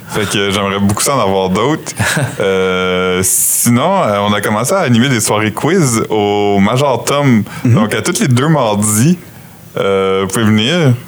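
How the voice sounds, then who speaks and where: A man speaks at a very slow pace with a fairly low pitch and ordinary pitch variation. Noticeable background noise runs behind him. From New Brunswick, Canada. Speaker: podcast host. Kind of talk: casual chat.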